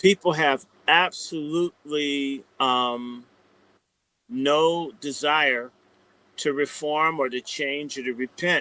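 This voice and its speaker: A man with an American accent speaks very slowly with long, frequent pauses, his fairly high voice bright and sharp, his intonation fairly even, and the sound dry and close with no echo. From US South. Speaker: commentator. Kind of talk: casual chat. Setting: live stream.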